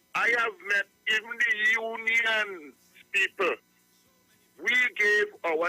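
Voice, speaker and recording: Over music in the background, a man uses a raised, projected voice with ordinary pitch variation, captured with a dry, close sound and no echo. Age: 70s. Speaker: caller. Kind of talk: call-in radio talk.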